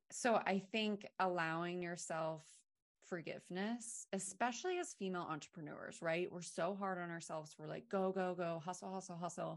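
Against a quiet background, a woman with an American accent and an unremarkable speaking voice speaks at a fairly low pitch and a moderate pace with fairly even intonation. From Maine, US. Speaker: wellness brand founder. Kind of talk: podcast interview.

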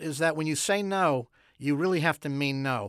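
In a very clean recording with a silent background, a man talks at a fairly high pitch with lively intonation. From Quebec. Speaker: comedy TV writer. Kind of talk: interview. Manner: dry joking humor.

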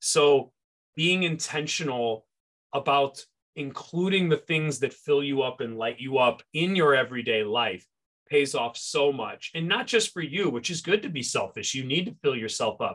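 A man's fairly high voice at a moderate pace, energetic in tone, with lively intonation. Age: 40s. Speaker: high school science teacher. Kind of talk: casual chat.

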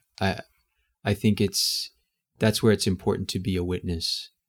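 Recorded very cleanly against a silent background, a man with an American accent speaks at a fairly low pitch with fairly even intonation. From US South, Houston, Texas. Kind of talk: casual interview.

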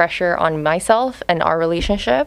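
A woman uses a normal speaking voice, with her pitch at a medium level and varying in an ordinary way. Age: 20s. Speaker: middle school teacher. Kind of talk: casual chat.

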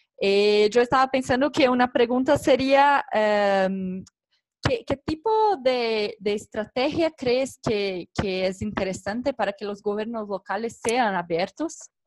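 Speaking at a very slow pace, a woman uses a fairly high pitch with ordinary pitch variation. The sound is dry and close with no echo. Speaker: civil society organization member. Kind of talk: online interview / panel talk.

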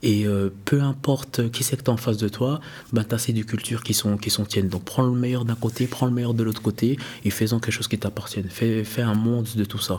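With fairly even intonation, a man talks at a fairly quick pace in a somewhat breathy voice. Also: medium pitch for a man. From Switzerland, Neuchâtel. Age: 30s. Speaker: entrepreneur. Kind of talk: interview.

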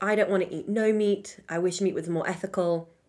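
A woman with an American accent speaks at a moderate pace on a very clean recording with a silent background. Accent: British accent drifting American. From Britain. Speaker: podcast co-host. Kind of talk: casual chat. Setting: studio.

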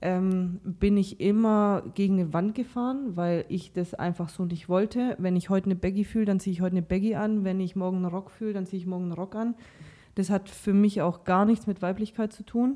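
Her dark, mellow tone sits at medium pitch as the woman talks at a fairly quick pace with fairly even intonation. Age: 30s. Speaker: podcast guest. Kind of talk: casual chat.

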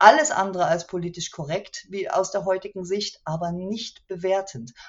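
A woman's plain, everyday voice at medium pitch and a fairly slow pace. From East Germany, Chemnitz (Saxony). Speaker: author and local politician. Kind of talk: interview. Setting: video call.

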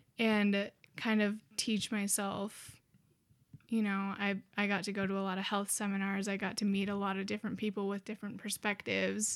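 In a monotone, flat delivery, a woman speaks with an American accent on a very clean recording with a silent background. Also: medium pitch for a woman, moderate pace. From Montana (small town). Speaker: college student. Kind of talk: casual chat.

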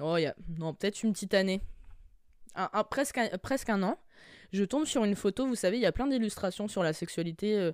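The background is silent in a very clean recording. A woman's words come at a fairly quick pace. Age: 20s. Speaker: podcast host. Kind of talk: casual monologue.

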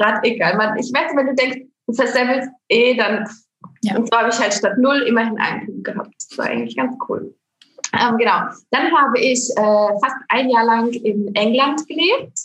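A plain, everyday voice. It moves at a moderate pace with ordinary pitch variation. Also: woman, fairly high pitch for a woman. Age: 30s. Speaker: network marketing saleswoman. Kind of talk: casual interview. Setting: home office.

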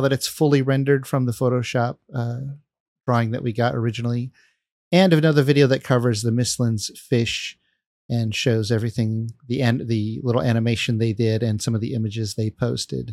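This is a man with an unremarkable speaking voice, medium pitch and fairly even intonation. He talks at a fairly quick pace on a very clean recording with a silent background. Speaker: podcast host and video game content creator. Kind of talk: casual chat.

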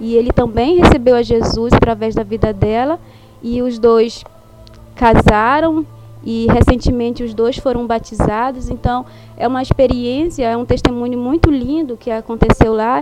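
A woman's high voice at a moderate pace, fairly even in intonation, with music in the background. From northern Brazil. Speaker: missionary. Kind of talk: testimony.

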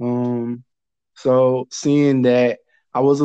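A man's dark, mellow voice at a fairly high pitch. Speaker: tennis fan guest. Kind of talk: casual chat.

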